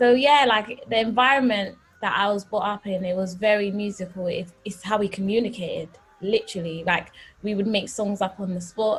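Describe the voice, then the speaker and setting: A woman's medium-pitched, somewhat breathy voice with a London accent, fairly even intonation and a moderate pace. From North London. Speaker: gospel singer. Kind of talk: interview.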